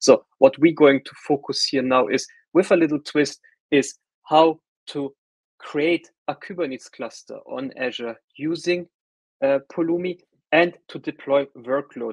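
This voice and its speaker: This man with a German accent talks at a moderate pace with ordinary pitch variation and big shifts in loudness, recorded with a dry, close sound and no echo. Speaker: solutions architect presenting a tech workshop. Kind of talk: webinar tutorial. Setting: online webinar call. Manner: casual with frequent fillers and repetitions.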